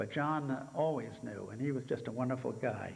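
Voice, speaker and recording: Audible room echo surrounds a man speaking at medium pitch and a fairly quick pace. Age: 80s+. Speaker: helicopter museum founder. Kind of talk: speech to conference audience. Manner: halting, many fillers.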